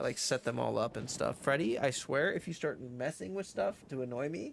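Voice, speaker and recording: Vocal fry runs through a man's medium-pitched voice as he talks at a fairly quick pace with lively intonation. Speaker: game streamer. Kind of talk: casual livestream chat with game dialogue read aloud. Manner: casual, filler-heavy, stumbling.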